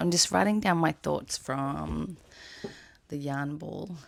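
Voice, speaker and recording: A woman speaks very slowly with an Australian accent. The recording is very clean, with a silent background. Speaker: knitwear designer vlogger. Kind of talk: casual vlog narration.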